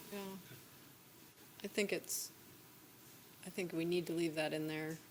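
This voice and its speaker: Soft-spoken and at a moderate pace, a woman talks in a fairly low pitch with monotone, flat intonation over noticeable background noise. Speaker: city councilor. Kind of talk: council discussion.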